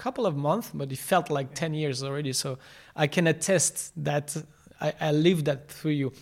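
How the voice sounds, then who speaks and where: The voice carries a French accent. The recording is very clean, with a silent background. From France. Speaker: podcast host. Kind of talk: casual interview.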